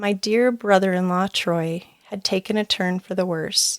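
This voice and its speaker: A soft-spoken woman at medium pitch talks at a moderate pace. The sound is dry and close with no echo, and the recording is very clean with a silent background. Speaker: parenting coach and podcast host. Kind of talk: personal reflective podcast talk.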